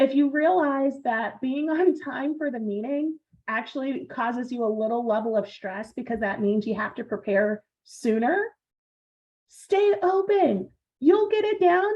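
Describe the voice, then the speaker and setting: A woman's high voice at a fairly slow pace, with very wide pitch swings. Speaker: project management presenter. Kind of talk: online seminar presentation.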